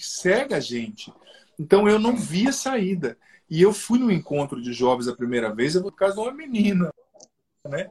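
A high-pitched man at a moderate pace, with very wide pitch swings, big swings in loudness and long, frequent pauses. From southern Brazil, Paraná. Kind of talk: testimony in a live interview. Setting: video live stream.

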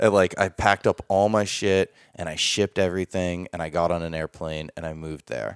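Speaking with an American accent at a fairly quick pace with hardly any pauses, the voice stays monotone and flat in intonation while swinging widely in loudness, in a very clean recording with a silent background. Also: man, very deep, low pitch for a man, dry, close sound with no echo. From New Hampshire, US. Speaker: photographer and videographer. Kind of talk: casual interview chat. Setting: host's home.

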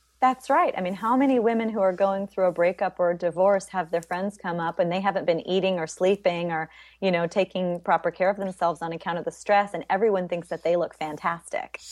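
Here is a woman with an ordinary speaking voice at a medium pitch, moving at a fairly quick pace with hardly any pauses and fairly even intonation. The sound is dry and close with no echo, and the background is quiet. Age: 40s. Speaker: spiritual healer and workshop leader. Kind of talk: casual interview.

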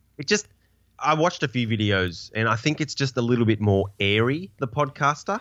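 A man with an Australian accent, medium pitch and lively intonation, talking at a fairly quick pace against a quiet background. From Tasmania, Australia. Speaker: podcast guest. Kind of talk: casual chat. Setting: video call.

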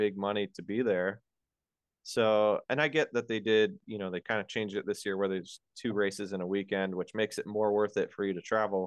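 A man with an American accent and an ordinary speaking voice talks at a fairly quick pace, fairly low in pitch with fairly even intonation. The sound is dry and close, with no echo. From Colorado. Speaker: motorcycle rider coach. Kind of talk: casual chat. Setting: video call.

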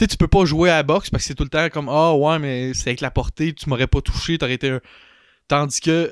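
A man talks at a very fast pace, fairly high in pitch with fairly even intonation. The sound is dry and close with no echo, on a very clean recording with a silent background. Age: 20s. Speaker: larp player. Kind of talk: casual chat.

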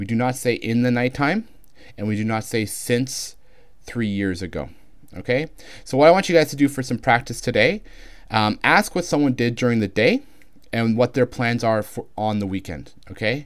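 In a very clean recording with a silent background, a man with a Canadian accent talks at a moderate pace in a plain, everyday voice, medium in pitch with ordinary pitch variation. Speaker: English teacher. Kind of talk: tutorial.

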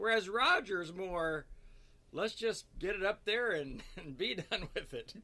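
A man's high, raised and projected voice, bright and sharp in tone, with ordinary pitch variation. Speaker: pastor. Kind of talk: casual chat. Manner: fast.

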